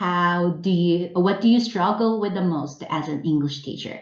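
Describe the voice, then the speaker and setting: A woman speaks with a fairly low pitch and ordinary pitch variation. Room echo is audible. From South Korea. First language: Korean. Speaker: English teacher trainer. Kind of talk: webinar presentation. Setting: online webinar.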